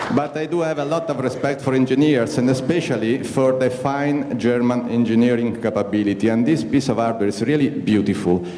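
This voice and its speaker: Fairly quick delivery with hardly any pauses, ordinary pitch variation, audible room echo and noticeable background noise. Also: man, medium pitch for a man. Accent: Italian. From Italy. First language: Italian. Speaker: astronaut. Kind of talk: invited talk. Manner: halting.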